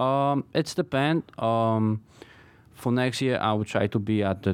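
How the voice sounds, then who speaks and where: A man with a Polish accent and ordinary pitch variation, on a very clean recording with a silent background. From Poland. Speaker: knife maker. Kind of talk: interview. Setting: studio. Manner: halting.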